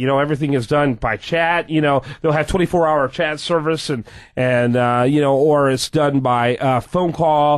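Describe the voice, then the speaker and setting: In a plain, everyday voice, a man speaks at a moderate pace with a fairly high pitch. His pitch variation is ordinary, and the background is quiet. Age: 50s. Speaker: radio business show host. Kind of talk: interview.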